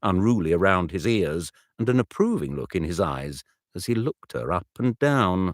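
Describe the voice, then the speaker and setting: A man with a very deep, low voice and vocal fry swings widely in pitch at a moderate pace, the recording very clean with a silent background and a dry, close sound with no echo. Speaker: audiobook narrator. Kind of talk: audiobook narration.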